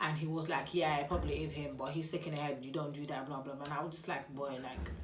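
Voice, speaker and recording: A woman at a very fast pace in an animated tone, with audible room echo. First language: not English. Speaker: YouTuber. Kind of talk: storytime vlog. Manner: casual, animated.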